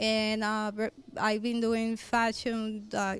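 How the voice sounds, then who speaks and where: With a Spanish accent, a woman talks fairly slowly at a fairly high pitch and with fairly even intonation. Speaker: fashion designer. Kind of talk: interview. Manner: halting.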